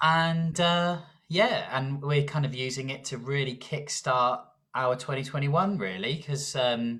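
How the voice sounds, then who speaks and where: A man speaks in a southern English accent at a fairly slow pace. His pitch is fairly high, with ordinary variation. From southern England. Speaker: rock band guitarist. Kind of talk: interview. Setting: video call.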